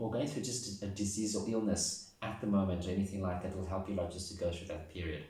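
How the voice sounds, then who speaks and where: Audible room echo surrounds a man with a fairly low pitch. His voice is somewhat breathy, with fairly even intonation. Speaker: tarot reader. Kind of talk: tarot reading to camera. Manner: fast.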